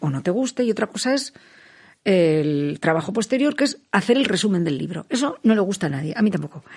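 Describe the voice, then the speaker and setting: A somewhat breathy woman talks at a fairly quick pace, her pitch swinging very widely. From Basque Country, Spain (Vitoria-Gasteiz). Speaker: poet and writer. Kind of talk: interview. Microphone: muffled by face mask.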